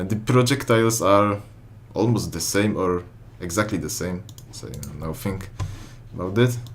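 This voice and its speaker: The speech moves at a moderate pace with ordinary pitch variation, set against audible room echo and noticeable background noise. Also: man. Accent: Polish. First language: Polish. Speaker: gaming YouTuber. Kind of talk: gameplay commentary. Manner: halting, many fillers.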